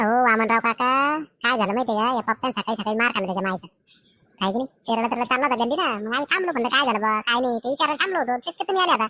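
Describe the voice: A woman does a cartoonish character voice, high-pitched with lively intonation. She talks very fast, and the sound is dry and close with no echo.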